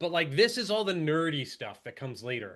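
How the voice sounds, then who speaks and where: A man with an American accent speaks at a fairly quick pace in a bright, sharp tone against a quiet background. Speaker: housing policy researcher. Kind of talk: presentation. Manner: fast.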